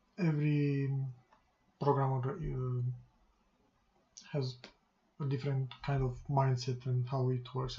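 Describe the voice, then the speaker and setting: The speaker has a non-native accent and moves at a fairly slow pace. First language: not English. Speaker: game programmer, coding youtuber. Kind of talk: coding tutorial. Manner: soft-spoken; halting, many pauses. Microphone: quiet, mic boost at maximum.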